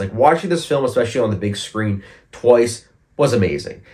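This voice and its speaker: This is a man's voice, somewhat breathy. His intonation is lively. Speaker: film reviewer. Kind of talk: casual talk to camera.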